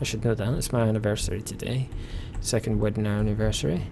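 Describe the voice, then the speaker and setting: Music plays in the background as a man speaks quietly. His pitch is medium and his intonation fairly even. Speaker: gaming video creator. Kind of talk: game commentary. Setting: home at night.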